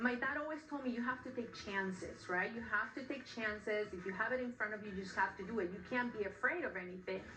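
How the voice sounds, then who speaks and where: A woman at fairly high pitch, talking very fast with hardly any pauses and ordinary pitch variation, amid noticeable background noise and audible room echo. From Peru. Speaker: shoe designer, former sports anchor. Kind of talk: interview.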